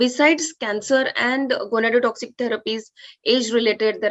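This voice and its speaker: A woman talks with an Indian accent. Her pitch varies in an ordinary way. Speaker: oncologist. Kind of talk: conference talk. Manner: fast.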